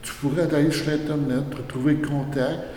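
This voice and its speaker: A man with a fairly high voice for a man. Noticeable background noise and audible room echo surround him. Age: 60s. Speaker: retired mail carrier. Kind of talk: casual interview. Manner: animated.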